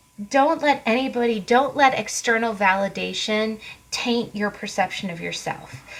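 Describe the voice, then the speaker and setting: Noticeable background noise behind a woman speaking at a fairly high pitch. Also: ordinary pitch variation, moderate pace. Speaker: tarot card reader. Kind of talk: tarot reading monologue. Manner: casual, conversational.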